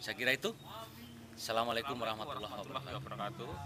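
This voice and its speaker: Very fast speech comes from a man with a fairly low pitch and ordinary pitch variation. Noticeable background noise is present. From Central Java (Wonosobo). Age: 30s. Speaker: language course student. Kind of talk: testimonial.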